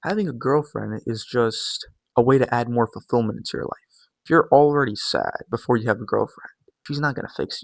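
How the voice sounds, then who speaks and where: Recorded dry and close with no echo, a man speaks quietly at a fairly quick pace, his loudness swinging widely. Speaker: YouTuber / fitness coach. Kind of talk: vlog monologue. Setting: at home, early morning. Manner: casual.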